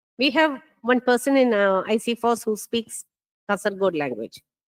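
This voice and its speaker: The recording is very clean, with a silent background and a dry, close sound with no echo. A woman with a Keralan accent talks at a moderate pace with ordinary pitch variation. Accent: Indian English, Malayali. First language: Malayalam. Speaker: NLP researcher, conference speaker. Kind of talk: conference talk. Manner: hesitant, many fillers.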